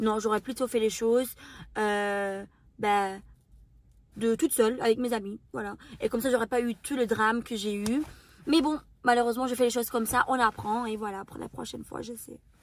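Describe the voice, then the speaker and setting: On a very clean recording with a silent background, a woman with a non-native accent speaks at a moderate pace with long, frequent pauses, fairly high pitch, fairly even intonation, and big swings in loudness. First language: not French (speaking French). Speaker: YouTuber and reality TV contestant. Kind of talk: Q&A interview. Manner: very expressive; mannered speech.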